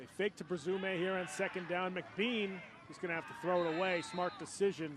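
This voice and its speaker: Against noticeable background noise, a man speaks at a moderate pace in a high voice with fairly even intonation. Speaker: football play-by-play announcer. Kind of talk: live sports play-by-play commentary, TV broadcast.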